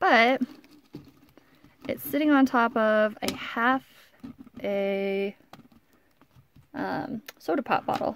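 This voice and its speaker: Quiet and mumbling, a woman talks very slowly with long, frequent pauses and lively intonation over light background noise. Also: dry sound with no echo. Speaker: hobby crafter. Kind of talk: casual talk to camera. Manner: mumbling, quiet; hesitant, many fillers. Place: home room. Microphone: phone near.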